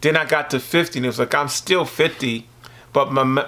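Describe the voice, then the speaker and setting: This man talks at a fairly quick pace in a bright, sharp tone with ordinary pitch variation. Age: 60s. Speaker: visual artist. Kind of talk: casual interview.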